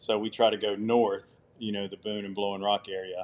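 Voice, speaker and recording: A man's fairly low voice comes through at a fairly quick pace. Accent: Southern US. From US South. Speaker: outdoor adventure company owner. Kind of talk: podcast interview.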